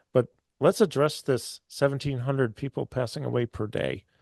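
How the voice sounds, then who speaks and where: Against a quiet background, a man speaks in a plain, everyday voice at medium pitch and moderate pace, with ordinary pitch variation and a dry, close sound with no echo. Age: 60s. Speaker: show host. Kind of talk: interview.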